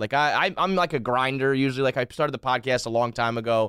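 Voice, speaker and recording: A fairly quick, lively delivery with a Northeastern US accent, bright and sharp in tone, dry and close with no echo, on a very clean recording with a silent background. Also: man. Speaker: blogger and podcaster. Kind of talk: casual interview chat. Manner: animated, casual, profane.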